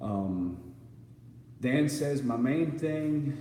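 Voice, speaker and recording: Recorded with noticeable background noise and audible room echo, a man speaks. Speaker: live streamer. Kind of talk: casual chat reading viewer comments. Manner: halting, stuttering.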